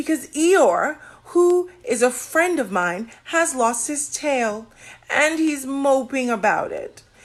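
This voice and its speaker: High-pitched, fairly slow speech in a woman's put-on character voice. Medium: read story. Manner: earnest, humble.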